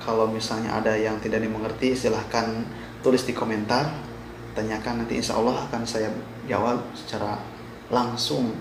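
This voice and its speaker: A man speaks in a West Javanese accent with fairly even intonation. Noticeable background noise and audible room echo come through. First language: Sundanese (speaking Indonesian). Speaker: vlogger, migrant worker. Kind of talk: informational vlog. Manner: halting.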